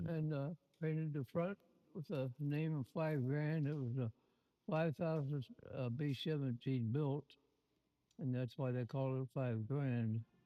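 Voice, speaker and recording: A man with a Midwestern American accent at a fairly slow pace, very even in loudness, with long, frequent pauses. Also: fairly high pitch for a man, ordinary pitch variation. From Ohio, Lima. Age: 80s+. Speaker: war veteran. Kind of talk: interview. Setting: community event with audience. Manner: halting.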